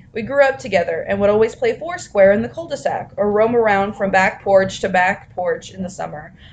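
A woman at a fairly quick pace, with lively intonation, hardly any pauses, and noticeable background noise. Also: medium pitch for a woman. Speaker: podcast co-host. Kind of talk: casual chat. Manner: soft-spoken.

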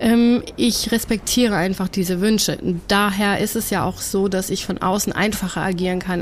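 Over noticeable background noise, a woman of medium pitch talks at a moderate pace with fairly even intonation. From Germany and the USA. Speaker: cancer activist and author. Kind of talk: casual interview.

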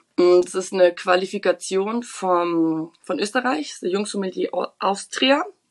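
At a fairly slow pace, a woman talks at a medium pitch with ordinary pitch variation. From Munich, Bavaria. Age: 20s. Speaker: trainee winemaker. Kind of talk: podcast interview. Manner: animated.

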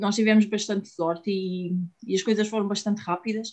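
Fairly even intonation in a dark, mellow female voice. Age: 30s. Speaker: IVF patient. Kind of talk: interview testimony. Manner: halting.

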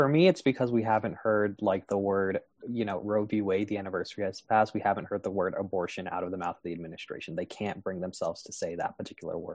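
A man with a fairly low pitch talks at a very fast pace, with hardly any pauses. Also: ordinary pitch variation. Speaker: podcast host, opens and closes show. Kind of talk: casual discussion podcast.

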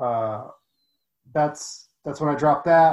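A man with an American accent talks at a fairly slow pace. His fairly high pitch shows ordinary variation. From US, Mexican family culture. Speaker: online fitness coach. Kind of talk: interview. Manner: rambling, many fillers. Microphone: internet problems on the call.

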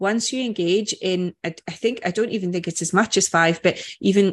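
In an ordinary speaking voice, a woman talks at a medium pitch with fairly even intonation over a quiet background. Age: 40s. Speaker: anti-diet coach and podcast co-host. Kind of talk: casual chat.

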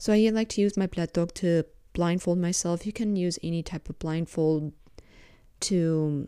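In a very clean recording with a silent background, a woman with a plain, everyday voice speaks at a moderate pace and fairly low pitch. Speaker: podcast host. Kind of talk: guided meditation; casual solo talk. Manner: soft-spoken.

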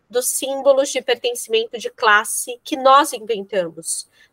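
Her pitch is high and her tone bright and sharp, with ordinary pitch variation. The woman speaks at a fairly slow pace. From São Paulo, Brazil. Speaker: podcast co-host. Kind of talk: interview.

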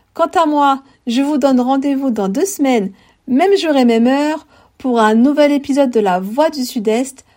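At a fairly slow pace, a woman with a high-pitched voice and a dark, mellow tone talks over a very clean recording with a silent background. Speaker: podcast host. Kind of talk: scripted narration. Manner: formal.

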